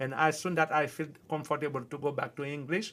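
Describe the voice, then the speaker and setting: With a strong Haitian accent, a man speaks at a very fast pace and a fairly high pitch in a very clean recording with a silent background. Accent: thick Haitian. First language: Haitian Creole. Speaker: livestreamer. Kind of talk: casual chat. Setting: livestream.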